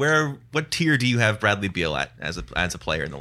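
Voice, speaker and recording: A man's medium-pitched voice with a Canadian accent, vocal fry, a bright, sharp tone, very wide pitch swings and a moderate pace. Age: 30s. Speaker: sports podcast host. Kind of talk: casual chat.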